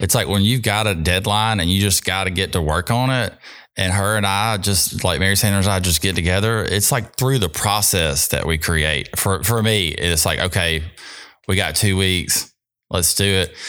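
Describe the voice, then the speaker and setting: With a Mississippi accent, a man talks at a moderate pace in a very deep, low voice with a bright, sharp tone, ordinary pitch variation and very even loudness, recorded very cleanly against a silent background. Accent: US Southern (Mississippi). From Mississippi (South Jackson). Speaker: artist and sign maker. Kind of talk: interview. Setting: studio.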